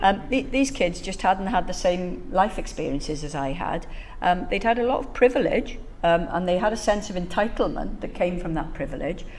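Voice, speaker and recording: A woman of medium pitch speaks at a moderate pace with lively intonation, amid audible room echo and noticeable background noise. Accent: Welsh. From Wales, Bridgend. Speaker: professor. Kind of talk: talk to an audience. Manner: conversational, with many fillers.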